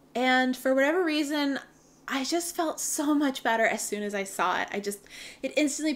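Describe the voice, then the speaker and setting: A woman speaks in an ordinary speaking voice at a fairly quick pace, with lively intonation. The recording is very clean, with a silent background. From Canada. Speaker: knitting podcaster. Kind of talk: casual chat. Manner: chatty, with filler ums.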